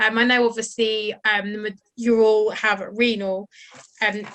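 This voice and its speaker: Her voice is fairly high in pitch with a bright, sharp tone. The woman's intonation stays monotone and flat. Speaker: charity health professional lead. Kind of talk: presentation. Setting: video call. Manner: fast; casual, relaxed.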